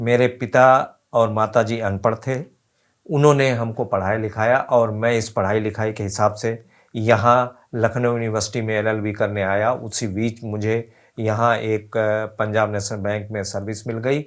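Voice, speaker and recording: Medium-pitched, a man speaks in a monotone, flat intonation. The recording is very clean, with a silent background. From Uttar Pradesh, India (Hardoi district, rural). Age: 70s. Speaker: retired bank employee, patient testimonial. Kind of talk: interview testimony. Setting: at his home. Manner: halting, many fillers.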